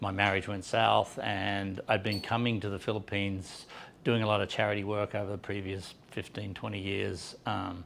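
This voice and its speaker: A man with an American accent speaks at a fairly low pitch with vocal fry. His intonation is monotone and flat, at a moderate pace. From Australia, Sydney. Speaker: business owner. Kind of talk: conference presentation. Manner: halting, many fillers.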